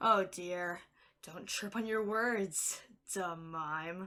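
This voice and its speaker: A put-on, female-sounding character voice, raspy and at a middle pitch, drags along at a very slow pace. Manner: pleading, panicked.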